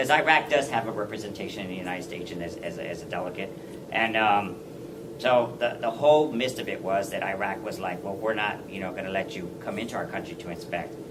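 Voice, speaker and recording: A man talks at a very fast pace, with audible room echo and noticeable background noise around him. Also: fairly low pitch for a man, ordinary pitch variation. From Texas, San Antonio. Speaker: war veteran. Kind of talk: speech. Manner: halting.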